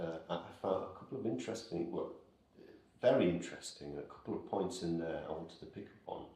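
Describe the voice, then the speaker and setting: A man's very deep, low voice at a very fast pace, with noticeable background noise. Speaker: interviewer. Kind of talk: interview question.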